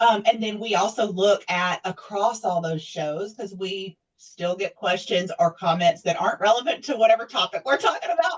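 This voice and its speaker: The speaker uses lively intonation and a Southern US accent, with hardly any pauses. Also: woman, medium pitch for a woman, moderate pace. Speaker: nonprofit staff, TV show host. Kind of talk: interview. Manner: conversational, many fillers.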